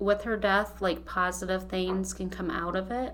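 Audible room echo hangs around the speech. The woman talks in an American accent. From Ohio, Holmes County. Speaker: coworker sharing personal story. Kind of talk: testimony. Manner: emotional.

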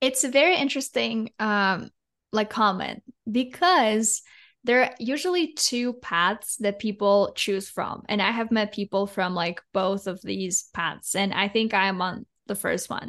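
At a fairly slow pace, a woman speaks in a Russian accent with fairly high pitch and lively intonation. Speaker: podcast co-host. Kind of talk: casual chat.

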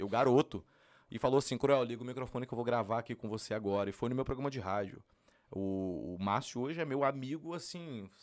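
A man with an unremarkable speaking voice talks at a fairly quick pace, with medium pitch and ordinary pitch variation. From Brasília, Brazil. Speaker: funk singer. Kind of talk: casual interview.

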